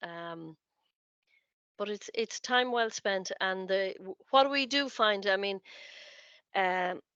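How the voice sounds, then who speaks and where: A woman's bright, sharp voice at a medium pitch, a very slow pace with long, frequent pauses, ordinary pitch variation, and a dry, close sound with no echo over a quiet background. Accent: Irish. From Ireland. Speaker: college lecturer. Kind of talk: information session talk. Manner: halting, many fillers and repeats.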